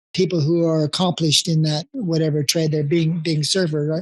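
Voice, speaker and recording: Speaking at a moderate pace, a man talks with a Californian accent. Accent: Californian American. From US West Coast (Encinitas, California). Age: 70s. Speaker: veteran surfer. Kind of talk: interview. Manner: halting, many fillers and repetitions.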